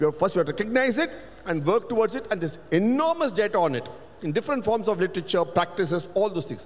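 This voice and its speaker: Very fast speech in a Tamil accent, with very wide pitch swings. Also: man, high pitch for a man. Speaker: panelist, cultural researcher. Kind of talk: panel discussion. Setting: stage with audience.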